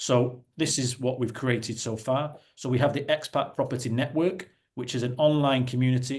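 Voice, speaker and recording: This man speaks at medium pitch and a moderate pace. His voice is somewhat breathy, with a northern English accent. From northern England, Salford. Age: 40s. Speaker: property investor and company executive. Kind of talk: webinar presentation. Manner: halting, self-correcting.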